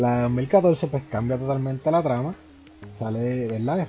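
Music plays behind a man talking at a fairly slow pace. His pitch sits in the medium range. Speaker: podcast host. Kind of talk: casual chat.

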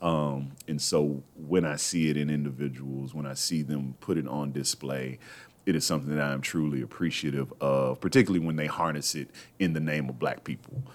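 Noticeable background noise runs under this clip. A man talks at a fairly quick pace with a very deep, low pitch and fairly even intonation. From Texas. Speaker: radio host. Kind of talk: casual chat. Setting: studio.

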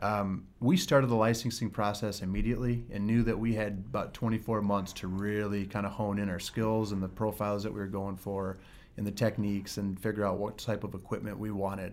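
In a Michigan accent, the speaker goes at a fairly quick pace with hardly any pauses and a monotone, flat intonation. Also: man, fairly low pitch for a man. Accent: Midwestern American (Michigan). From West Michigan. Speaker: distillery co-founder. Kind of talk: interview.

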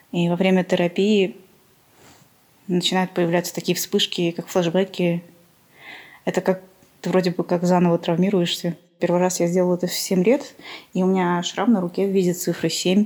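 A woman in a monotone, flat delivery with long, frequent pauses, on a very clean recording with a silent background. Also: medium pitch for a woman, moderate pace. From Armenia. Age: 30s. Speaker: podcast guest sharing mental illness story. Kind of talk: personal testimony interview.

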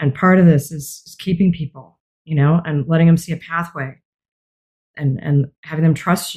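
Her voice is very deep and low for a woman, somewhat breathy, with fairly even intonation, big swings in loudness and a moderate pace. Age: 50s. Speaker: executive coach. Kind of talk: interview.

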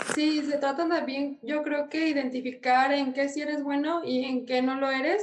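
A woman with a Mexican accent and a high pitch speaks at a moderate pace with fairly even intonation and hardly any pauses. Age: 20s. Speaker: architecture student and YouTuber. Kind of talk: casual interview.

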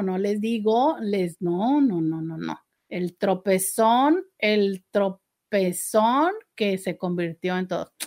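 The woman speaking has a medium pitch. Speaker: radio host and sexologist. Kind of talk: live radio talk show. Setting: radio studio. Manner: less intense, more serious than usual.

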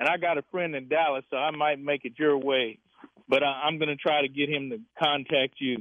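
A man speaks in a normal speaking voice at a fairly quick pace. His pitch is fairly high and his intonation fairly even. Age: 60s. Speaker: caller. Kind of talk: call-in radio.

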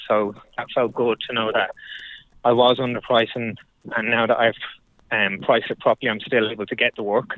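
The speech comes at a fairly quick pace in an Irish accent, broken by long, frequent pauses. The intonation stays monotone and flat. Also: man, medium pitch for a man. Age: 40s. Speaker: building contractor. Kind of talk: casual chat.

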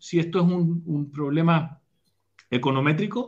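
A man's voice comes through somewhat breathy. His pitch varies in an ordinary way. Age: 40s. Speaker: leadership speaker and academic. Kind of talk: casual interview over live stream.

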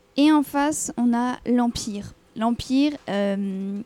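A woman speaks with a dark, mellow tone. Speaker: manga podcast co-host. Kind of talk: casual chat. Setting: live in a café.

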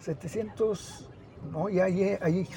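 Over noticeable background noise, a man with a high pitch talks with ordinary pitch variation. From Mexico, Zacatecas (Mazapil). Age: 70s. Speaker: last remaining villager, land-rights activist. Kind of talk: testimony. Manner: halting, many repetitions.

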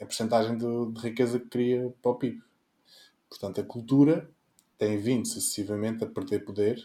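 With a dark, mellow tone and medium pitch, a man talks at a moderate pace with fairly even intonation and long, frequent pauses, on a very clean recording with a silent background. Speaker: political party representative, panelist. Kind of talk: political panel discussion.

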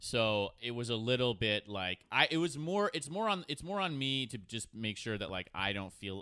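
A bright, sharp voice with an American accent and lively intonation, on a very clean recording with a silent background. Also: man. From New York City. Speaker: actor and comedian. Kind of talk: casual chat.

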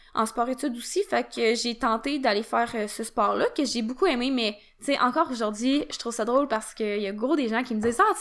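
Speaking at a fairly quick pace, a woman has a high pitch and ordinary pitch variation. The recording is very clean, with a silent background. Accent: Quebec. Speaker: podcast host. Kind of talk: solo podcast monologue. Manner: casual, filler-heavy.

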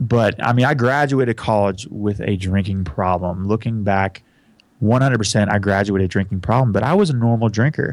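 A man talks at a moderate pace and a medium pitch, with ordinary pitch variation. The recording is very clean, with a silent background. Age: 30s. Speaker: recovery podcast host. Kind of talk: personal testimony in interview. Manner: animated, casual.

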